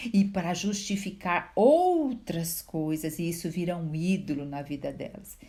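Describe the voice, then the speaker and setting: A soft-spoken woman with a dark, mellow, somewhat breathy tone, fairly low pitch, ordinary pitch variation and a fairly slow pace. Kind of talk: Bible reflection talk to viewers.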